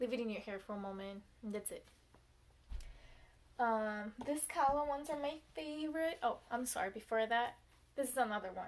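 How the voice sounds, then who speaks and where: A woman speaks with a Portuguese accent. Her pitch is fairly high, with ordinary variation. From Brazil. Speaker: beauty vlogger. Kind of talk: tutorial. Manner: casual, hesitant with fillers.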